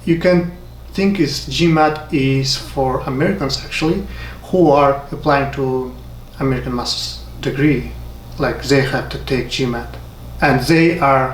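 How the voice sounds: With audible room echo, a man speaks at a fairly slow pace and a medium pitch.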